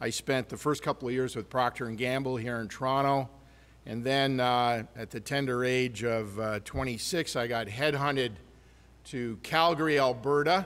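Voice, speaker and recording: A normal speaking voice from a man with a Canadian accent, moderate in pace and ordinary in pitch variation. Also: medium pitch for a man. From southern Ontario, Canada. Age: 60s. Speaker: mining company executive. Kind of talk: keynote speech.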